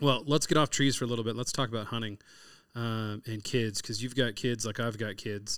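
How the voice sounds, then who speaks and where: A man with an American accent and a medium-pitched voice, at a moderate pace with fairly even intonation and long, frequent pauses, on a very clean recording with a silent background. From California. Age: 40s. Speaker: podcast host, chef and hunter. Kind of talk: casual interview chat.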